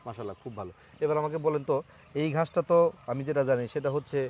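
The man has a normal speaking voice, fairly high in pitch, with ordinary pitch variation. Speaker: farming video host. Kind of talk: casual interview; presenter intro to camera.

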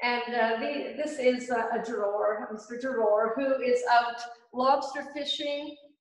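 Against a quiet background with audible room echo, a woman speaks slowly at a high pitch. Her intonation is fairly even and her pace fairly slow. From Gaspé Peninsula, Quebec; Quebec. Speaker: painter. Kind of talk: casual interview. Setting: community centre cafe.

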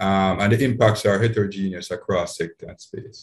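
A man talks at a fairly quick pace. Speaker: conference presenter. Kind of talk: lecture. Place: office. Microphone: webcam.

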